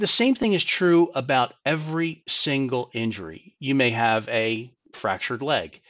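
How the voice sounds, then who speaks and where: A man's fairly high voice with very wide pitch swings, at a fairly slow pace with hardly any pauses. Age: 50s. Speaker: personal injury lawyer. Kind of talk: legal advice monologue.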